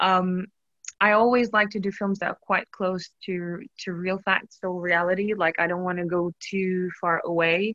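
Speaking fairly slowly with a Portuguese accent, a woman has a bright, sharp tone and monotone, flat intonation in a dry, close sound with no echo. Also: medium pitch for a woman. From Portugal. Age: 30s. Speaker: actress and burlesque dancer. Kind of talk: casual interview chat.

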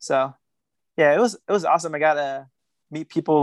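Recorded very cleanly against a silent background, a man with an American accent and a fairly high voice talks at a fairly quick pace, the sound dry and close with no echo. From Guatemala; Northern California. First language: Spanish. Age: 20s. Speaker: professional runner. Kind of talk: casual interview.

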